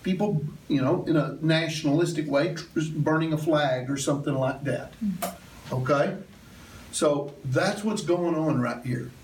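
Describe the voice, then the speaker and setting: A man with a Southern US accent at a fairly high pitch and a fairly slow pace, ordinary pitch variation, noticeable background noise and audible room echo. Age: 50s. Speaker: church elder teaching Bible class. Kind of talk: Bible class lecture. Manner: conversational, with many fillers.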